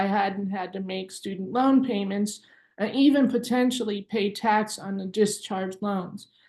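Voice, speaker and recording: A woman's plain, everyday voice at a medium pitch, moderate pace and ordinary pitch variation. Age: 50s. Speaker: activist student debtor. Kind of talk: prepared statement at press conference.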